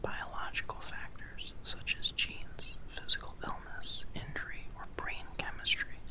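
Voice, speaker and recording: A man whispering with hardly any pauses. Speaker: ASMR and mental health video host. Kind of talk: ASMR whispered educational narration. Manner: whispered, soft, slow. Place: home room. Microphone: studio mic.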